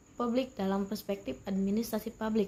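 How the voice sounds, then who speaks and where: Fairly high in pitch yet dark and mellow in tone, a woman's voice comes across somewhat breathy. She speaks at a fairly quick pace. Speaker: university student. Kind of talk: student presentation. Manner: formal; halting.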